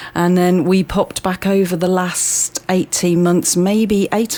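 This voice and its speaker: A woman speaks in a fairly low pitch with a dark, mellow tone. Her pace is fairly slow. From Birmingham, England. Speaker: community centre manager. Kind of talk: casual interview chat.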